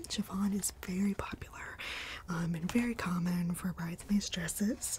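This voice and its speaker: A soft-spoken woman over noticeable background noise. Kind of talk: role-play sales consultation. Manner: soft-spoken ASMR murmur.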